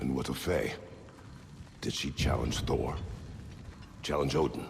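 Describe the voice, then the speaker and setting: Using a put-on character voice pitched very deep and low, a man speaks at a moderate pace against clear background noise. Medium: short film. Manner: terse, formal, grave.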